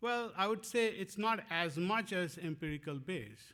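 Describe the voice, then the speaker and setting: A man with a Bengali accent speaks at a fairly slow pace in a bright, sharp tone. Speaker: professor. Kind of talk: lecture. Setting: conference talk. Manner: halting, many fillers.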